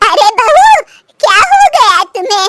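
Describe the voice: A woman does a squeaky cartoonish character voice at an extremely high pitch, with ordinary pitch variation.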